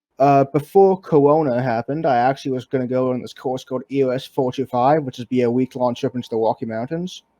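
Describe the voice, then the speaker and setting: A man speaks very fast at a medium pitch with fairly even intonation. His tone is dark and mellow, and the sound is dry and close with no echo. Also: hardly any pauses. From Manitoba, Canada, South African parents. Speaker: university student. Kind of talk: casual interview.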